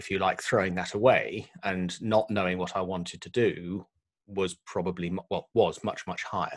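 A man with a fairly low voice at a fairly slow pace, his intonation fairly even, over a quiet background. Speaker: podcast guest. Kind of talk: interview answer. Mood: reflective, calm. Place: home room. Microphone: studio mic.

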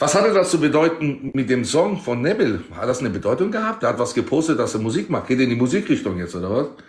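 Very fast and with hardly any pauses, a man talks at a fairly high pitch with very wide pitch swings. Room echo is audible. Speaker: TikTok live streamer. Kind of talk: casual live-stream chat. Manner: excitable. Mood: mocking, provocative. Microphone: phone near.

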